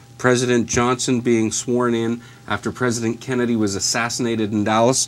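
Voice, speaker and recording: A man's voice over background music. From Southern Ontario, Canada. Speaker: TV news anchor and reporter. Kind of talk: live morning TV show reporter delivery on location.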